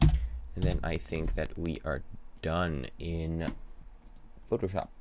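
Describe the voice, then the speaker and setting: A man with a very deep, low voice and vocal fry speaks very slowly, his intonation lively. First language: not English. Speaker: filmmaking YouTuber. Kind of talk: live stream tutorial chat. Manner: halting.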